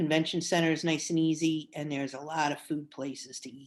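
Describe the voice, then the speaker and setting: A woman with a New York accent speaks at a moderate pace in a very deep, low voice against a quiet background. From New Jersey. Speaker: quilting teacher. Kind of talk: interview. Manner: animated.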